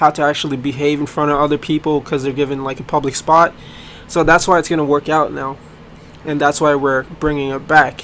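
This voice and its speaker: Speaking at a fairly quick pace, a man uses a fairly high voice with monotone, flat intonation. Noticeable background noise can be heard. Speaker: game developer. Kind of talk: casual video explanation. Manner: halting, many fillers.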